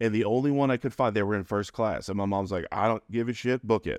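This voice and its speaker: Heard against a quiet background with a dry, close sound and no echo, a man with an American accent uses ordinary pitch variation. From upstate New York. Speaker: podcast guest. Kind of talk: casual interview, personal storytelling.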